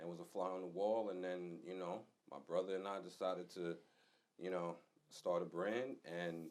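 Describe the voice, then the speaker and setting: A man speaks at a fairly slow pace with a New York accent. His pitch is very deep and low. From New York, Long Island. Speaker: fashion designer, clothing brand co-founder. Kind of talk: casual interview.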